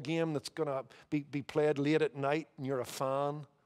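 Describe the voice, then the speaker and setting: A man with a Northern Irish accent, fairly high pitch and flat, monotone intonation against a quiet background. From Northern Ireland. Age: 50s. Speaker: pastor. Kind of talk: sermon. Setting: church. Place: church. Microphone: headset.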